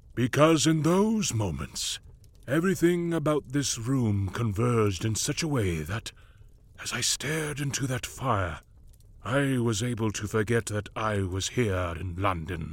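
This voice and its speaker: A man puts on a rumbling character voice at medium pitch. He moves at a moderate pace with very wide pitch swings. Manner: imperious, lecturing, soft rumbling cadence.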